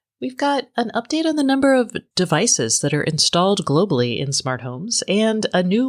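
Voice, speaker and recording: A woman at medium pitch swings her pitch very widely, recorded very cleanly against a silent background with a dry, close sound and no echo. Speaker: podcast host. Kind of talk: podcast intro.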